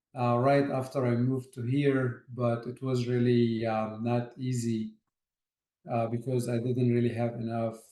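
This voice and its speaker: A man's dark, mellow, medium-pitched voice in an Arabic accent, flat and monotone at a fairly slow pace. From Egypt, Port Said. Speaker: architect, project manager. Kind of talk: interview. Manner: hesitant, many fillers.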